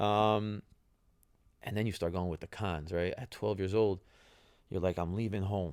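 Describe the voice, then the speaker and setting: With a New Jersey accent, a man speaks at a moderate pace in a fairly low voice with fairly even intonation and long, frequent pauses, on a very clean recording with a silent background. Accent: New Jersey American English. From New Jersey, US. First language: Italian. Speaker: retired professional soccer player, podcast host. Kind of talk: casual podcast monologue. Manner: conversational, with fillers and repetitions.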